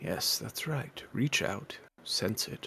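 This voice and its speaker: A man whispers in a put-on character voice. It is soft-spoken and breathy. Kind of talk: hushed, encouraging. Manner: whispering, soft and breathy.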